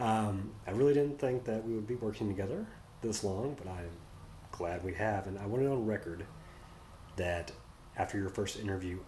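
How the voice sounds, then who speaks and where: A soft-spoken man with a fairly low pitch sounds somewhat breathy, his tone dark and mellow. He uses ordinary pitch variation, and audible room echo surrounds his voice. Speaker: nonprofit executive. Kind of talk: farewell message. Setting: office.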